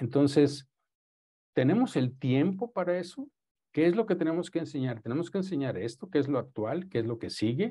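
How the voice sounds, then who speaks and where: A man's somewhat breathy, dark and mellow voice, fairly high in pitch, with lively intonation at a moderate pace over a quiet background. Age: 60s. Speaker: radiologist lecturer. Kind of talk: lecture.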